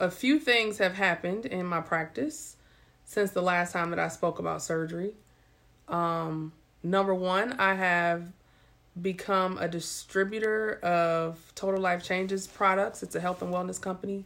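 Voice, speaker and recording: Her pace is moderate. This woman's pitch shifts in an ordinary way. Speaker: surgeon vlogger. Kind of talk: casual live-stream chat. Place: home room. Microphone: phone near.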